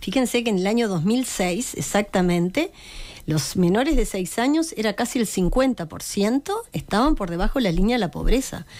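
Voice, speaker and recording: A woman speaks with lively intonation. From Uruguay, Montevideo; Uruguay. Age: 50s. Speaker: pediatrician and politician; politician. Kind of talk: interview. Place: studio. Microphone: studio mic.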